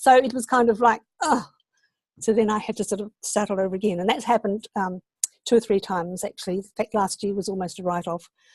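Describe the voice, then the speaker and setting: A woman with a New Zealand accent talks at a very fast pace and medium pitch with ordinary pitch variation, recorded dry and close with no echo against a quiet background. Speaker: online entrepreneur, interview guest. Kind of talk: online interview.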